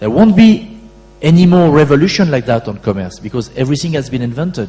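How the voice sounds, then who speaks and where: Over music in the background, a man with a French accent talks at a fairly quick pace with very wide pitch swings. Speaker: e-commerce company founder and CEO. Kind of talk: conference Q&A answer.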